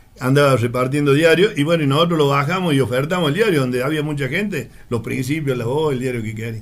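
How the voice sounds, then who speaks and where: A fairly high-pitched man's voice with ordinary pitch variation and audible room echo. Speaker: former newspaper seller. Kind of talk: casual chat.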